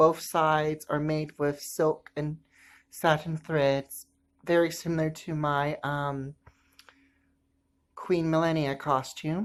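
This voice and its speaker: A woman speaks at a very slow pace in a very deep, low pitch with monotone, flat intonation. The recording is very clean and the background silent. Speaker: costume maker. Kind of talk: sewing tutorial talk.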